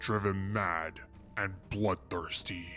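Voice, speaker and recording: A man puts on a character voice, very deep and low, at a fairly slow pace. Clear music plays in the background. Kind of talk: dramatic lore narration. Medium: machinima. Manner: solemn, formal, ceremonial.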